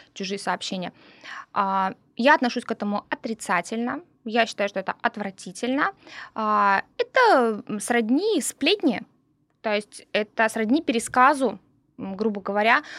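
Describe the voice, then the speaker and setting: With long, frequent pauses and a fairly slow pace, a woman talks at a fairly high pitch with ordinary pitch variation, captured in a very clean recording with a silent background. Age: 40s. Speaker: podcast co-host. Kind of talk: casual chat.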